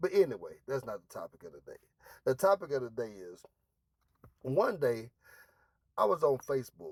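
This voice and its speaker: Long, frequent pauses break up a man's fairly high-pitched speech, which has vocal fry and very wide pitch swings, recorded dry and close with no echo. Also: moderate pace, big swings in loudness. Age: 40s. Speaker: vlogger. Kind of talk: casual monologue. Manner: halting.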